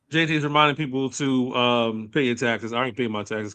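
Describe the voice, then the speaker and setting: Against a quiet background, a man speaks loudly with a bright, sharp tone. His pitch sits at a medium level and varies in an ordinary way. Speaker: podcast host. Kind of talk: casual chat. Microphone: sound cutting in and out, internet connection.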